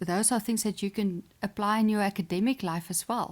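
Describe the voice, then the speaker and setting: At a fairly quick pace, a woman speaks with medium pitch and ordinary pitch variation in a very clean recording with a silent background. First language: Afrikaans. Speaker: sports psychologist and chess champion. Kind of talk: podcast interview. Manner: hesitant, many fillers.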